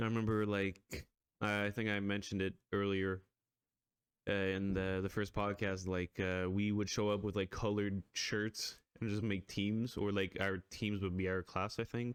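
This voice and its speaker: A man's fairly low voice in a monotone, flat intonation, at a moderate pace and very even loudness. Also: very clean recording, silent background. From Quebec. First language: French. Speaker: podcast host. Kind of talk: casual chat.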